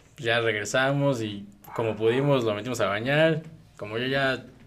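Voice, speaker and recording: A man speaks at medium pitch with ordinary pitch variation. Noticeable background noise and audible room echo surround his voice. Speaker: university student or recent graduate. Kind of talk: casual chat.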